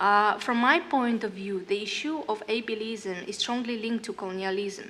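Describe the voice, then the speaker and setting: A woman speaks with a Russian accent. Her voice is fairly high in pitch with a bright, sharp tone. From northern Kazakhstan. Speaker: singer and educator. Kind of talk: panel discussion. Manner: halting.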